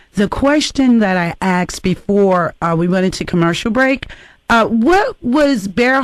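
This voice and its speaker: The speaker talks at a fairly slow pace with a DC accent. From Washington DC. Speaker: radio host. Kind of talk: radio talk show.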